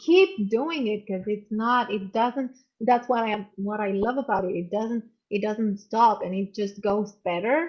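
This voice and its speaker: A woman with a fairly high pitch and a somewhat breathy voice speaks at a fairly slow pace. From Romania. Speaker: emotional intelligence coach. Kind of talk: video call interview.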